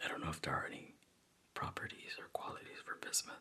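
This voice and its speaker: Whispering at a fairly quick pace comes through over noticeable background noise. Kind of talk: ASMR soft-spoken show and tell. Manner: soft-spoken.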